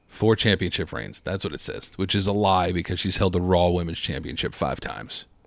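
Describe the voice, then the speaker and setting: A man with a very deep, low pitch and vocal fry, fairly quick pace, hardly any pauses and ordinary pitch variation. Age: 20s. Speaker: wrestling podcast co-host. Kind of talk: casual chat.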